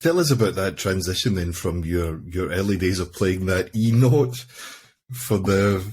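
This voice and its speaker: A man speaks with a very deep, low pitch and a somewhat breathy quality. His pace is fairly slow, with ordinary pitch variation. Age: 50s. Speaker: podcast host. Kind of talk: casual interview chat.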